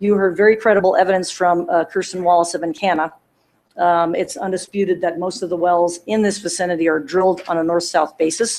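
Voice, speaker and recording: A woman's fairly low voice at a fairly quick pace, with fairly even intonation. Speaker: attorney. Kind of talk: closing argument at hearing. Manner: fast.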